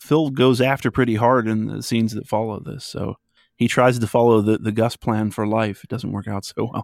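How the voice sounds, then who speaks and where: A man with an American accent and an ordinary speaking voice talks at a moderate pace in a medium pitch with fairly even intonation, the very clean recording having a silent background and a dry, close sound with no echo. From western Pennsylvania. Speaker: psychology podcaster. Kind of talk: casual chat.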